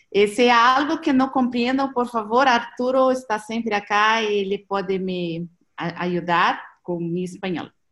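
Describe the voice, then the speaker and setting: A woman speaks with a Portuguese accent and lively intonation. The background is quiet. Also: fairly high pitch for a woman, fairly slow pace. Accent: Portuguese-accented Spanish (portuñol). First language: Portuguese (speaking Spanish). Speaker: presenter on transition movement network. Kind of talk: online seminar presentation. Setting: video call. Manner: halting.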